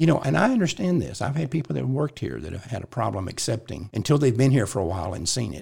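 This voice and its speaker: Talking at a very fast pace with hardly any pauses, the speaker shows vocal fry and very wide pitch swings on a very clean recording with a silent background. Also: man, medium pitch for a man. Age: 70s. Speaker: pro-life organization president and podcast host. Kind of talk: casual chat.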